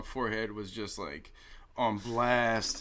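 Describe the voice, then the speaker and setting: A man's fairly low voice with a bright, sharp tone and audible room echo. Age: 30s. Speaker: rapper and sound engineer. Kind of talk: casual chat.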